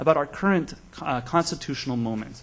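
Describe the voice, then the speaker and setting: A fairly high-pitched, somewhat breathy man's voice with an American accent at a fairly quick pace. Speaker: law professor. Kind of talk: panel talk introduction. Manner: fast.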